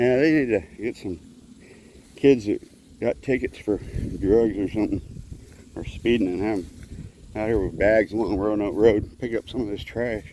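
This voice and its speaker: Speaking with a Texan accent, a man has a fairly low pitch and a dark, mellow tone. His pace is moderate and his pitch variation ordinary. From Texas, Houston. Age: 50s. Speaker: vlogger. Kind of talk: casual vlog monologue. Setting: outdoors, walking along a road.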